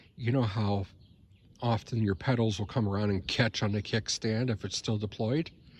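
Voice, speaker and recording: Somewhat breathy, a man talks at a moderate pace, with a dry, close sound with no echo and a quiet background. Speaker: ebike owner reviewing his bike. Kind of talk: casual talk to camera. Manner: hesitant, stammering.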